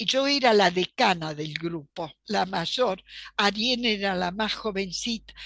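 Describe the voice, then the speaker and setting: Speaking very slowly with a Polish accent, a woman uses a medium pitch, a bright, sharp tone and ordinary pitch variation. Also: quiet background. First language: Polish (speaking Spanish). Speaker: archivist and professor. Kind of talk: interview.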